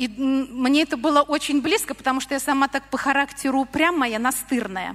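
At a moderate pace, a woman speaks in a high voice with ordinary pitch variation. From Russia. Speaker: church member. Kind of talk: testimony. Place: church. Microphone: handheld.

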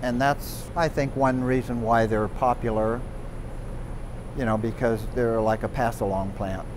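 This man speaks at a moderate pace with fairly even intonation. Noticeable background noise runs underneath. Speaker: plant expert guide. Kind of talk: interview answer. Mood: warm and amused.

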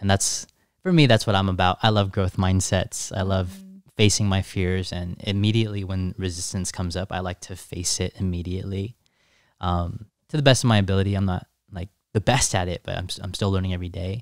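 A man's very deep, low voice at a fairly quick pace, fairly even in intonation, dry with no echo, over a quiet background. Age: 20s. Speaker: content creator and coach; content creator, coach. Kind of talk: casual chat. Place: studio. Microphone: studio mic.

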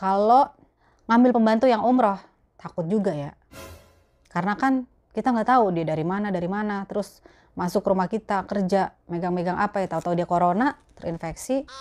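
With faint music in the background, a woman talks at a fairly quick pace. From Jakarta, Betawi; Jakarta. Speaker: YouTuber, mother; YouTuber. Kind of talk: casual Q&A vlog. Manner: chatty, laughing. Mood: relaxed, warm, animated. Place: home room. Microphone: lapel.

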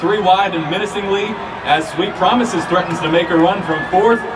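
Amid loud background noise, a man keeps a moderate pace. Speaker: horse race caller. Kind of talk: live horse race call. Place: booth.

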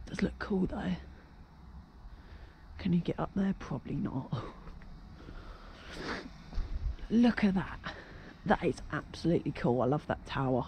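Someone whispers at a moderate pace, leaving long, frequent pauses. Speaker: urban explorer vlogger. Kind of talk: casual vlog chat. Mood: excited, curious. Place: open country. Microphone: phone near.

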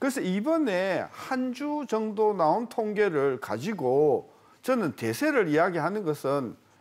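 With very wide pitch swings, a high-pitched man speaks at a very slow pace. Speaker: guest expert commentator. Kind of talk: interview answer. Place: studio. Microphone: lapel.

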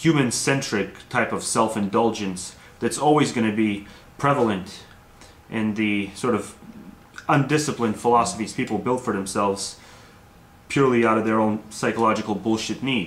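A man at a moderate pace with ordinary pitch variation, audible room echo around him. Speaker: video blogger. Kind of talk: casual vlog argument. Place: home room. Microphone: webcam.

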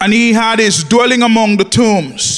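A man's voice, with music in the background. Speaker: pastor. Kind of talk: scripture reading in sermon. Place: stage. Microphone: handheld.

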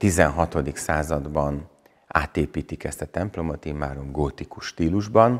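Speech comes at a very slow pace with ordinary pitch variation over a quiet background. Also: man, very deep, low pitch for a man. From Partium, Satu Mare (Szatmárnémeti), Romania; Romania. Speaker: Reformed pastor and buffalo farmer; Reformed pastor. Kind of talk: interview, explaining church history. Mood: calm, informative. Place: church. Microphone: lapel.

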